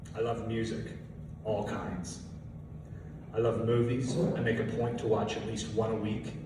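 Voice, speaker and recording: Amid noticeable background noise and audible room echo, a man speaks fairly slowly with fairly even intonation and long, frequent pauses. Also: medium pitch for a man. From Ontario, Canada. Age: 20s. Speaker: radio advertising salesman. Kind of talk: prepared speech to a club audience.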